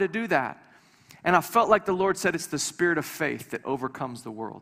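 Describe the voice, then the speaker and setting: A man's animated, bright, sharp voice at a fairly quick pace. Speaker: visiting preacher. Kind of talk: sermon. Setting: church with congregation.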